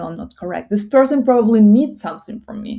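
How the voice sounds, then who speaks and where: A woman speaks in a Russian accent, her tone dark, mellow and somewhat breathy. The recording is very clean, with a silent background. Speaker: psychology content creator. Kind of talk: casual talk to camera. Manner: halting.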